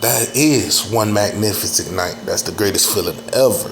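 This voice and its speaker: Noticeable background noise and audible room echo around a man speaking at a fairly slow pace. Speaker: reaction video commentator. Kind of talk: casual reaction commentary.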